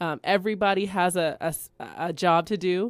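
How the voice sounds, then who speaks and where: In a very clean recording with a silent background, a woman with a Californian accent speaks at a medium pitch. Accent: Californian American English. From Bakersfield, California. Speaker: educator. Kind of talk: radio interview. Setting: studio.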